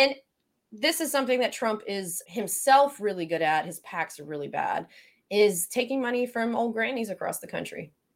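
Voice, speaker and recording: A woman with an American accent speaks at a moderate pace in a fairly high voice, her pitch swinging very widely. Her loudness rises and falls sharply on a very clean recording with a silent background. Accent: Southern, thicker than usual today. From Florida panhandle. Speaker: podcast host.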